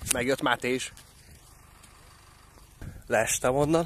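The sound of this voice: A man speaks with a fairly bright tone and fairly even intonation.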